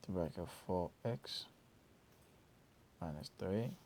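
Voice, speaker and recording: A man's fairly low-pitched voice with a non-native accent. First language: not English. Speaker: math tutor. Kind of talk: tutorial. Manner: casual.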